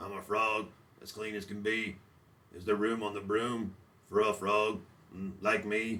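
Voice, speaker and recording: Using a croaky, put-on character voice, a man speaks at a fairly low pitch and a moderate pace, with long, frequent pauses and monotone, flat intonation. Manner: polite, cheerful.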